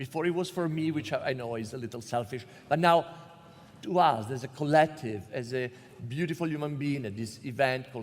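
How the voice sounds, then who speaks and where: A man with an Italian accent, medium pitch and ordinary pitch variation. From Italy. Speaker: panel moderator. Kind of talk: comedic panel discussion.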